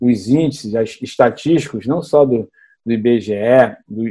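A man's dark, mellow voice at a fairly slow pace, with ordinary pitch variation. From Rio de Janeiro, Brazil. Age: 50s. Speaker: city councillor and candidate. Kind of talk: interview.

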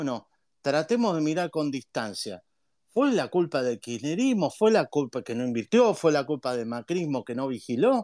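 Moderate-paced speech from a man, fairly high in pitch with very wide pitch swings, in a dry, close sound with no echo. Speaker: economist, university professor. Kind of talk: online talk with Q&A. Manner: long-winded, talks at length.

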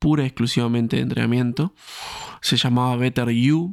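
Recorded dry and close with no echo, a man talks at medium pitch and a moderate pace. The recording is very clean with a silent background. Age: 20s. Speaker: fitness coach and podcast host. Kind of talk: solo podcast monologue. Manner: hesitant, frequent fillers and repetitions.

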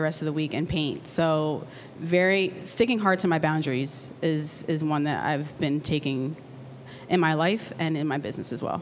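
A woman with an American accent has a plain, everyday voice. She speaks at a moderate pace with ordinary pitch variation. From Lancaster, Pennsylvania. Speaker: artist and entrepreneur. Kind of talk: live panel discussion. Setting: stage with audience.

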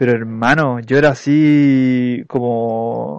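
A medium-pitched man with a Chilean accent. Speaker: podcast co-host and YouTuber. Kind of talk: casual chat. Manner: animated.

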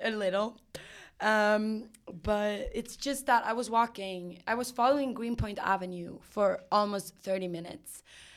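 A woman's fairly high voice in a Swedish accent, fairly slow in pace, with ordinary pitch variation. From Sweden. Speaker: actress and singer, clown. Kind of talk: casual chat, interview. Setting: recording in New York.

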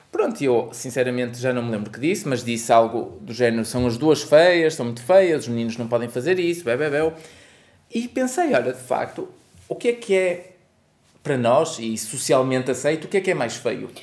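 This man has a plain, everyday voice, pitched medium, moving at a moderate pace with ordinary pitch variation. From northern Portugal, Porto (Aldoar). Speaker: podcast co-host and parent. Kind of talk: casual chat.

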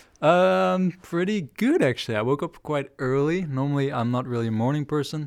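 At a moderate pace and with hardly any pauses, a voice with a Dutch accent uses lively intonation in a very clean recording with a silent background. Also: man, fairly high pitch for a man. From southern Netherlands, near Breda. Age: 20s. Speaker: guest sharing personal experiences. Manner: hesitant, many fillers.

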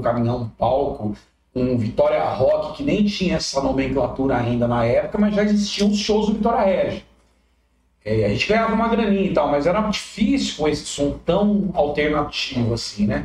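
A man talks at a moderate pace, his pitch swinging very widely. His loudness stays very even. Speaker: musician. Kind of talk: casual chat.

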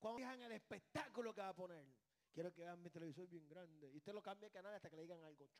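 The man's tone is animated, with a high pitch. He talks at a very fast pace with ordinary pitch variation. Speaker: pastor. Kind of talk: sermon.

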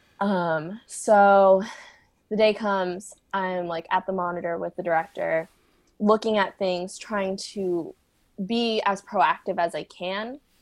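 With an American accent, a woman speaks at a very slow pace, her medium pitch held in fairly even intonation. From US, San Diego. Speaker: choreographer and dancer. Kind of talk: casual interview.

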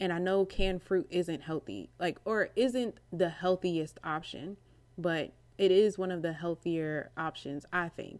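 A woman speaks at a fairly low pitch with ordinary pitch variation. Her pace is fairly slow. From Maryland, US. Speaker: podcast host. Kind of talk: casual chat. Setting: at home; at work. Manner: animated.

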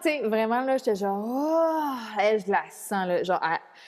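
A woman speaks with very wide pitch swings. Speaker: spiritual coach, mother. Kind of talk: casual interview chat. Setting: remote call from Mexico. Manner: animated.

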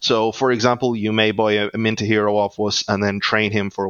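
A man with an Irish accent, fairly low pitch and fairly even intonation. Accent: Irish, noticeable. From Ireland. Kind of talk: casual interview, explaining product.

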